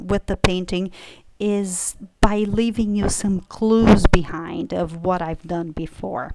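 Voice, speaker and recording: Very slow speech in a Brazilian accent, with ordinary pitch variation, big swings in loudness and noticeable background noise. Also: woman, medium pitch for a woman. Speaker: painter. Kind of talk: casual explanation to camera.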